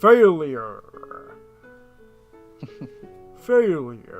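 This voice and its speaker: A put-on character voice over faint background music. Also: man, high pitch for a man. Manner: dramatic, booming.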